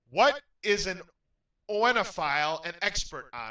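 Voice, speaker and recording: A man is speaking with music playing in the background. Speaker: game show host. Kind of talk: game show hosting.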